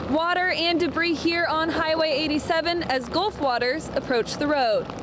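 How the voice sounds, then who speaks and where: Noticeable background noise sits behind a woman speaking at a moderate pace in an American accent, her pitch varying in an ordinary way. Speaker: television news reporter and anchor. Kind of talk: TV news reporting and anchoring.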